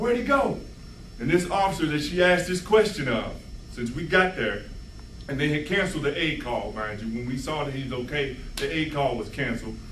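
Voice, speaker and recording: A fairly high-pitched man talks at a fairly quick pace with lively intonation. There is audible room echo and noticeable background noise. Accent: American. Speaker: former police officer speaking at a rally. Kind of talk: public speech storytelling. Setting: community event with audience. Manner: fast; animated.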